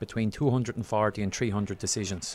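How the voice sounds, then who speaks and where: Speaking with an Irish accent, a man has a fairly low pitch and ordinary pitch variation. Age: 40s. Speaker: referee. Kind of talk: interview.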